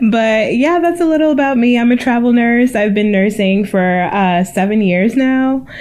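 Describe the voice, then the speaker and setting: A woman at a fairly high pitch talks at a moderate pace with lively intonation, very even loudness and hardly any pauses. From Maryland, US (born in Cameroon). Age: 30s. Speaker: podcast co-host, travel nurse. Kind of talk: casual chat.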